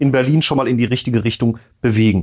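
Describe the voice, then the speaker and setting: A plain, everyday voice: a man at medium pitch, fairly quick pace, dry close sound with no echo, quiet background. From Rhineland-Palatinate, Bad Kreuznach district. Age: 30s. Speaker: state parliament member, podcast co-host. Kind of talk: casual chat.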